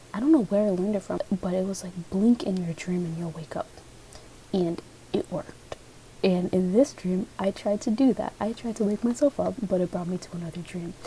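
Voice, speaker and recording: Soft-spoken and at a fairly quick pace, a woman talks at a medium pitch with ordinary pitch variation. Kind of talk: ASMR dream reading, soft-spoken storytelling. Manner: soft-spoken, chatty, casual.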